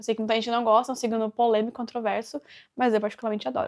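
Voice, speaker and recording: Fairly high in pitch, a woman talks in an animated tone. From Brazil, interior of São Paulo state (Avaré). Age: 20s. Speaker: vlogger. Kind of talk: casual Q&A talk to camera. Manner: chatty, animated.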